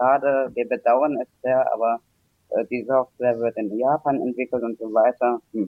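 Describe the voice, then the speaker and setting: A man with a medium-pitched voice speaks in a flat monotone. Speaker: caller. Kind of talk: casual chat. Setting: internet call. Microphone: poor microphone.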